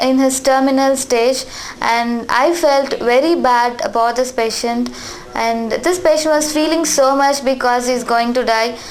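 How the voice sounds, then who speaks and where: Delivered at a fairly slow pace with fairly even intonation and very even loudness, the speech carries audible room echo over noticeable background noise. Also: woman. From India, Tamil Nadu. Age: 20s. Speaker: nurse. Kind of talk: interview. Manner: halting, with fillers.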